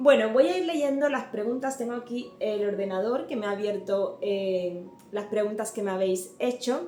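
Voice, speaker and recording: Background music plays while a woman's voice carries audible room echo. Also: fairly high pitch for a woman, ordinary pitch variation, moderate pace. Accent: slight Cuban. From Cuba. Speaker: home and cleaning youtuber. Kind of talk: Q&A vlog. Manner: hesitant, many fillers.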